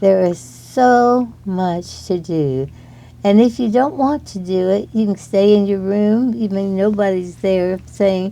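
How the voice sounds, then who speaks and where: A woman's intonation stays lively even as she talks very slowly. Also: medium pitch for a woman. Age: 80s+. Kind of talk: interview answer.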